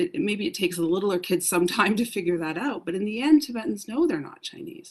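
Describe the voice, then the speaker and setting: Somewhat breathy and fairly high in pitch, a woman talks at a fairly quick pace with very wide pitch swings. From Tibetan. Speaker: human rights advocate. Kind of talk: congressional hearing testimony.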